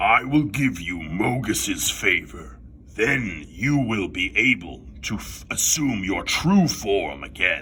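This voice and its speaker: A put-on character voice speaks at a fairly slow pace over clear background noise. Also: man, fairly low pitch for a man. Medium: read story.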